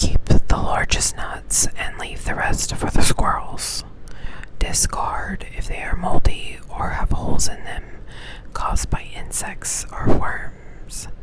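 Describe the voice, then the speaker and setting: A woman whispering with an American accent at a very slow pace, big swings in loudness, over noticeable background noise. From Texas, USA. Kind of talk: ASMR reading aloud of a foraging pamphlet with casual asides. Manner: soft-spoken, whispered.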